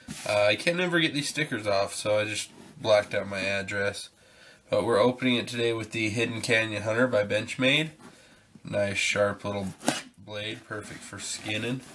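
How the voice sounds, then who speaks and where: Over noticeable background noise, a man talks at a moderate pace, his pitch medium and his pitch variation ordinary. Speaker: survival channel host, product unboxing. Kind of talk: casual unboxing video.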